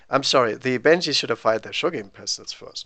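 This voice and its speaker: A man with a German accent speaks at medium pitch in a bright, sharp tone with ordinary pitch variation. The background is quiet. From Germany. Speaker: tabletop wargame streamer. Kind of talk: live game commentary. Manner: casual thinking-aloud.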